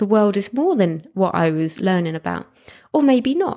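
There is an ordinary speaking voice from a woman at a medium pitch and moderate pace on a very clean recording with a silent background. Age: 40s. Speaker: podcast host and pole dance teacher. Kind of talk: solo monologue podcast. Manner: casual, conversational with fillers.

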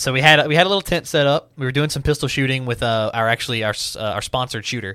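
A man speaks very rapidly. Background noise is clearly audible. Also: medium pitch for a man, ordinary pitch variation. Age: 20s. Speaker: gunsmith and marketing student. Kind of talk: casual interview chat.

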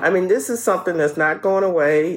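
Against noticeable background noise, a woman with an American accent talks at a very fast pace in an animated tone and fairly low pitch. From New Orleans, Louisiana. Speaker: podiatrist. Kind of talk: radio interview, health advice. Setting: radio studio. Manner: animated, laughs often.

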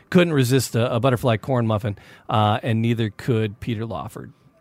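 A man with an American accent, medium pitch and ordinary pitch variation, an unremarkable speaking voice at a moderate pace. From Detroit, Michigan. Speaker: podcast host. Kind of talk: casual chat.

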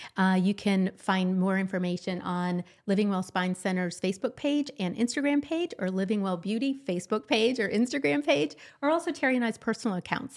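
In a normal speaking voice, a woman with an American accent talks fairly quickly at a medium pitch with lively intonation, on a very clean recording with a silent background. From Ohio (Columbus), after early years in Boston and Chicago. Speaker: podcast co-host. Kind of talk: casual chat.

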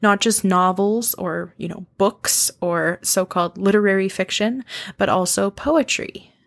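A woman with a Canadian accent speaks at a fairly slow pace in an ordinary speaking voice, medium-pitched with ordinary pitch variation, the sound dry and close with no echo. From Canadian prairies, Saskatoon. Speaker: podcast host, literature lecturer. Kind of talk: solo podcast monologue. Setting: home recording.

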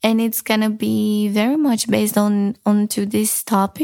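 In a very clean recording with a silent background, a woman speaks fairly high-pitched with fairly even intonation. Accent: Romanian. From Romania. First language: Romanian. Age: 20s. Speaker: podcast host. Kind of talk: casual monologue. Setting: home recording in her room.

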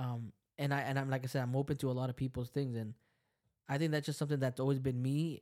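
On a very clean recording with a silent background, a man with an American accent speaks very fast at a medium pitch with a dark, mellow tone. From Lynn, Massachusetts (Salvadoran parents). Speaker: podcast host. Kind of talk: casual chat. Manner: animated.

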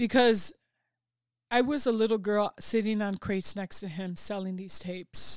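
A woman with a Chicago accent, in a very clean recording with a silent background and a dry, close sound with no echo. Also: medium pitch for a woman, ordinary pitch variation, moderate pace. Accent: Chicago American. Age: 40s. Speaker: mentor and public speaker. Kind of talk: casual interview. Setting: studio.

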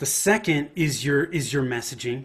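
Speaking at a moderate pace with an American accent, a man with a fairly high, somewhat breathy voice and ordinary pitch variation is heard on a very clean recording with a silent background. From Northern California, Bay Area. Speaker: marketing consultant. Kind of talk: interview.

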